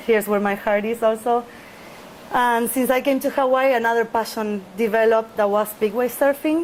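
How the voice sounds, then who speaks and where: A woman with a Spanish accent, fairly high in pitch, at a moderate pace, with fairly even intonation and very even loudness. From Argentina, Buenos Aires. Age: 30s. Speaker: big wave surfer. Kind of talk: interview. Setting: outdoors near ocean.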